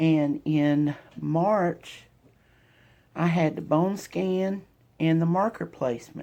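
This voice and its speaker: A woman with an American accent speaks very slowly in a fairly low, dark, mellow voice, with long, frequent pauses and very even loudness. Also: ordinary pitch variation. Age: 50s. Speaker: vlogger sharing cancer journey. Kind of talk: personal testimony vlog. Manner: halting, with fillers. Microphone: phone mic.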